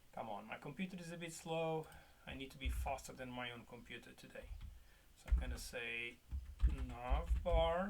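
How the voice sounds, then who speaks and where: The man speaks at a moderate pace, his loudness rising and falling in big swings. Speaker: web development tutor. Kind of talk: coding tutorial. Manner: casual, animated.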